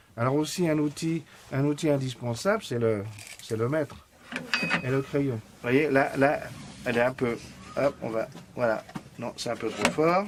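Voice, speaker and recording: Over noticeable background noise, a man with a fairly high pitch and ordinary pitch variation talks at a fairly slow pace with long, frequent pauses. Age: 60s. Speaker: retired carpenter, model maker. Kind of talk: casual demonstration interview. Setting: workshop. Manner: hesitant, many fillers.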